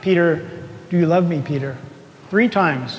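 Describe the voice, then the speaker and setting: The recording has audible room echo and noticeable background noise. A man speaks fairly slowly in a high pitch. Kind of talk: sermon. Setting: church with congregation. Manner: soft-spoken; conversational, asks the congregation questions.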